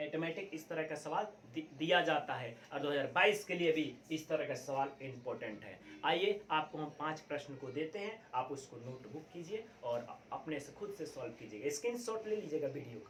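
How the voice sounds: With audible room echo around him, a man talks with few pauses, using lively intonation at a fairly high pitch. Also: moderate pace, fairly bright tone.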